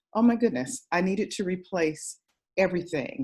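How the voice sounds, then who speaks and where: A woman with a fairly low pitch, lively intonation and a moderate pace. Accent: American. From Southern California (Altadena). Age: 60s. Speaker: direct sales consultant. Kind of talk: interview. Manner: animated.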